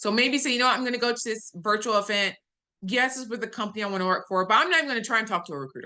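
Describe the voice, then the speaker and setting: A woman's fairly high voice, bright and sharp in tone, with lively intonation and a quiet background. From US South. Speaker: data analytics executive. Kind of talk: webinar talk. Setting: video call. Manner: clearly enunciated, newscaster-like; customer service voice.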